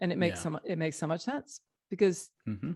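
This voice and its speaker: Dry and close with no echo, the voice has a dark, mellow tone and vocal fry at a fairly quick pace. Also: woman. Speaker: podcast host. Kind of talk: interview question.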